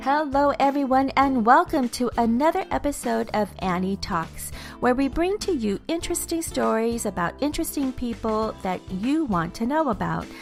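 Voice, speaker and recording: Music plays in the background as a woman speaks at a high pitch. Her intonation is lively, her pace moderate, with hardly any pauses. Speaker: podcast host. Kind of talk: podcast intro and interview questions.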